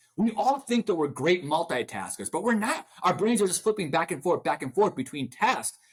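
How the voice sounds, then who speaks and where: Loud and animated, a man talks fairly quickly in a high voice with very wide pitch swings and hardly any pauses. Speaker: motivational speaker and author. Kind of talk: interview. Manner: fast when excited.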